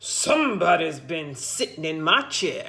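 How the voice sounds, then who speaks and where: Putting on a growling character voice, a woman speaks at a fairly slow pace and a fairly low pitch. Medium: read story.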